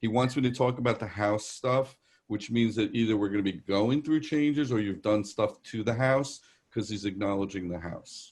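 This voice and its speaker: Against a quiet background, a man with a New York accent speaks at a moderate pace, his medium pitch showing ordinary variation. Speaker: psychic medium. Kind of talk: live psychic reading. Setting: video call. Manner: conversational, hesitant fillers.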